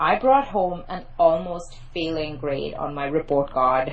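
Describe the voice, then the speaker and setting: A woman speaks at a fairly slow pace in a fairly low pitch. Audible room echo surrounds her voice. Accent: Mumbai. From India, Mumbai. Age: 30s. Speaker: PR and media expert, journalist. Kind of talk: podcast interview.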